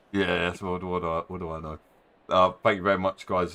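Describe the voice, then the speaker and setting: Very deep and low in pitch, a man talks with a Cockney accent. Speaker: sim racing league organiser. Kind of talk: casual chat.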